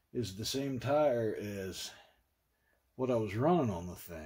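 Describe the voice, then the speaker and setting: Speaking very slowly in an Appalachian accent, a man has a somewhat breathy voice with a dark, mellow tone. His pitch swings very widely. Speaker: retro computing vlogger. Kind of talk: casual vlog monologue. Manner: rambling, halting.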